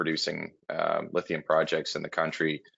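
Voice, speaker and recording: A man with a Canadian accent at a fairly quick pace. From Canada. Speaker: mining company CEO. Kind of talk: conference interview. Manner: hesitant, many fillers and repeats.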